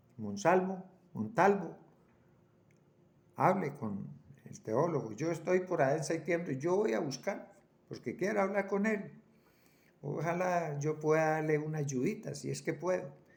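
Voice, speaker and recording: Audible room echo surrounds a man's fairly high voice. His intonation is lively, broken by long, frequent pauses. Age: 80s+. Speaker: preacher. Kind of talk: sermon. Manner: halting, repeats words.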